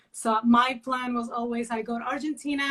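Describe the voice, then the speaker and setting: Her voice is fairly high in pitch with fairly even intonation. The woman keeps a moderate pace. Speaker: criminal lawyer. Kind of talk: interview. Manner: hesitant in Portuguese.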